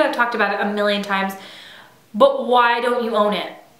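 Very fast, animated speech with audible room echo and noticeable background noise. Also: woman. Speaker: beauty vlogger. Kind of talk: product review. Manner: casual, animated.

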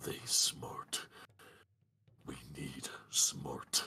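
A man whispers in a put-on character voice. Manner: broken caveman grammar, blunt, earnest.

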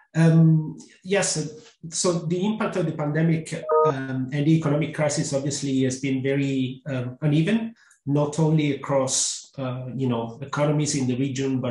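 The room echo is audible. The background stays quiet. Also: man. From Italy. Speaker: economist; panelist. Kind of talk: webinar panel discussion. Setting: webinar. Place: home room.

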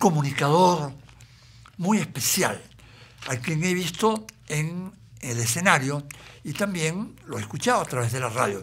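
Pausing long and often, a man talks at a fairly slow pace with lively intonation. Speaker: interview host; stand-up comedian. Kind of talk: interview talk.

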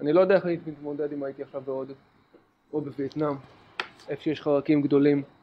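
The talking comes at a very fast pace. Long, frequent pauses break it up. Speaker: podcast co-host. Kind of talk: casual chat.

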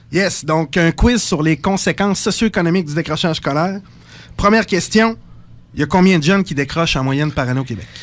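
A high-pitched man talks fairly quickly, his pitch varying in an ordinary way. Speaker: psychosocial worker. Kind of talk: radio interview. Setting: radio studio.

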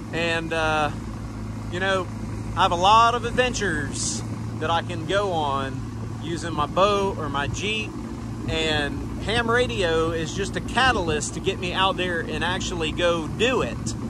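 A man's voice, dry with no echo, against noticeable background noise. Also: fairly slow pace. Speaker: amateur radio operator boating. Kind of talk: casual vlog chat. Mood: happy, relaxed. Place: boat.

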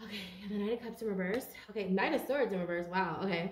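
A woman talks at a fairly quick pace with ordinary pitch variation, over light background noise and audible room echo. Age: 30s. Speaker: tarot card reader. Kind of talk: tarot reading monologue. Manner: animated. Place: home room. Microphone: phone near.

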